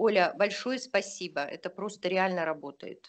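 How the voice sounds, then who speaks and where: Pitched in a medium range, a woman speaks at a fairly slow pace with lively intonation. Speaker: class participant. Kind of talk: testimony. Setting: video call. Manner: halting.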